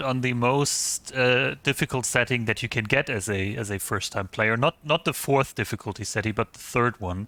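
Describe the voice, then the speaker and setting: A man with a German accent speaks at a medium pitch and a moderate pace. His tone is bright and sharp, in a dry, close sound with no echo. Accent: German accent, noticeable. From eastern Germany. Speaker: gaming streamer. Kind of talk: casual live-stream chat. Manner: hesitant, many fillers.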